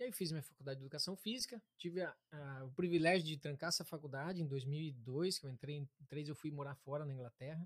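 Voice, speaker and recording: A man with a fairly high pitch talks at a very fast pace, with hardly any pauses, ordinary pitch variation, a somewhat breathy voice, and a dry, close sound with no echo. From interior of Paraná, Brazil. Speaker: therapist. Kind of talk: interview, explanatory talk.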